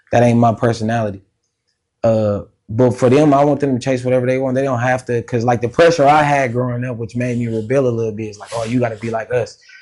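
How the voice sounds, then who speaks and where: Over a quiet background, a man with a medium pitch talks at a very fast pace with fairly even intonation. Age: older adult, a father. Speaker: R&B singer. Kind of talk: interview, casual chat. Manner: casual, laid-back.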